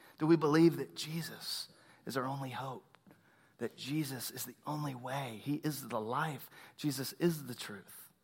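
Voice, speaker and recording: A man with a Texan accent talks at a moderate pace in a somewhat breathy, fairly high voice. His loudness swings widely. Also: ordinary pitch variation. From Texas, Tomball near Houston. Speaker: pastor. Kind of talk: sermon.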